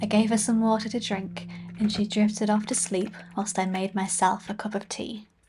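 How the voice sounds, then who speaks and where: A woman talks at a moderate pace in a dark, mellow tone, somewhat breathy, with monotone, flat intonation. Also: medium pitch for a woman. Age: 20s. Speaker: hiking vlogger. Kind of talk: travel vlog voiceover.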